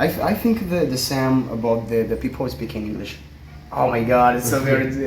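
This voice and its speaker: With audible room echo and noticeable background noise, a man of medium pitch speaks at a fairly quick pace with lively intonation and a Brazilian accent. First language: Portuguese. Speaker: language student. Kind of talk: casual interview. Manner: halting.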